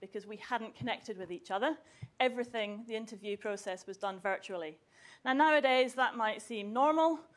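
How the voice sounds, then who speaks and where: A woman talks at a fairly quick pace. Her intonation is lively. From southwest Scotland. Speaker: university chemistry researcher. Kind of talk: public talk to school students.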